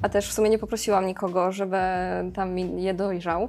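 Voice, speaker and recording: With music in the background, a woman speaks fairly quickly in a medium pitch and a monotone, flat intonation. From Poland, Karkonosze mountains (Szklarska Poręba). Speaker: plant caretaker at a plant shop warehouse. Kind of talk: casual chat. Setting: shop warehouse.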